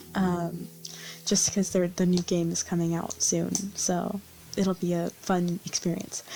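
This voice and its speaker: Her pitch is medium and her pace moderate. The woman is soft-spoken. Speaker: vtuber gamer. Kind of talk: casual gameplay chat. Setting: home recording at night. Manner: halting.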